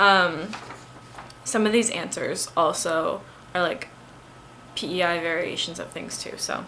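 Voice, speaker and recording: In a room with audible echo, a woman talks at a fairly slow pace with long, frequent pauses. Her loudness swings widely. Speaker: student. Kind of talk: casual monologue. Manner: hesitant, many fillers.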